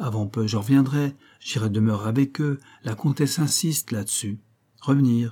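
Someone does plain reading aloud, and the pitch moves in an ordinary way.

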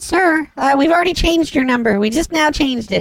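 A squeaky, high-pitched put-on character voice talks at a fairly quick pace.

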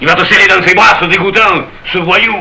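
A man does a put-on character voice, high-pitched with a bright, sharp tone and vocal fry. His intonation stays fairly even, and room echo is audible. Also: fairly quick pace.

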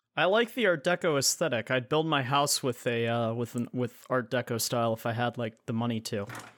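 A man with a plain, everyday voice speaks quickly at a medium pitch, with ordinary pitch variation and hardly any pauses. The recording is very clean, with a silent background. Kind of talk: casual banter chat. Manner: self-deprecating, joking.

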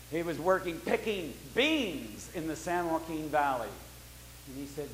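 Noticeable background noise surrounds a man who talks fairly slowly. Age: 70s. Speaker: pastor. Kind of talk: sermon.

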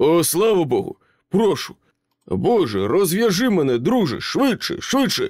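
A man's put-on character voice, high-pitched at a moderate pace with very even loudness, on a very clean recording with a silent background. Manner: frantic, pleading, babbling.

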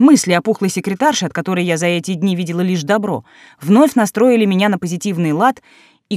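The speaker reads in a natural voice, and the pitch varies in an ordinary way.

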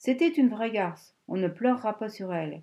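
With a quiet background behind it, the text is read aloud in a natural voice.

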